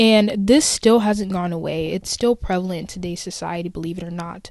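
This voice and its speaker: A woman with an American accent speaks at a moderate pace in a normal speaking voice of medium pitch. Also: quiet background. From USA. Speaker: podcast host. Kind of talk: solo podcast commentary. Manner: casual, conversational.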